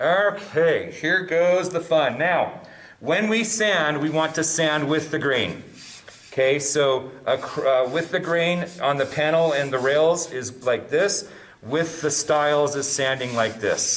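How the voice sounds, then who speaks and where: A man speaks very slowly in a fairly high voice with ordinary pitch variation over noticeable background noise. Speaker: woodworking instructor. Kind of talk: tutorial. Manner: clearly enunciated.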